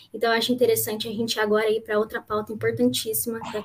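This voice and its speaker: Her pitch sits fairly high. The woman speaks in a flat monotone. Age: young. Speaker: student event moderator. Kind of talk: live panel moderation.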